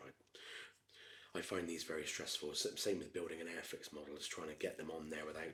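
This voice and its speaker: Soft-spoken, a man talks at a fairly quick pace. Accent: Gloucestershire. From England. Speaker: ASMR creator. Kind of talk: ASMR build chat. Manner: soft-spoken, methodical.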